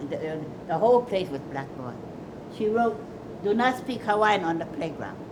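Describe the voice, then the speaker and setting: A woman at medium pitch and a moderate pace, lively in intonation, with long, frequent pauses and noticeable background noise. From Hawaii (Molokaʻi and Oʻahu). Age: 80s+. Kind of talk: documentary interview, personal storytelling.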